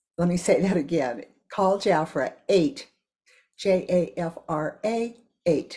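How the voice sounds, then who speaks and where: A woman with an American accent talks at a very slow pace with long, frequent pauses, her fairly low voice dark and mellow in tone. Her intonation is lively, and the background is quiet. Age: 80s. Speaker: direct sales consultant. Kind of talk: sales pitch. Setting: video message. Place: kitchen. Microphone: webcam.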